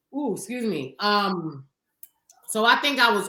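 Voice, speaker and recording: Her voice is medium-pitched, with a bright, sharp tone. This woman talks in a Harlem accent, and her pitch swings very widely. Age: 30s. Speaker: podcast co-host. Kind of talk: casual chat.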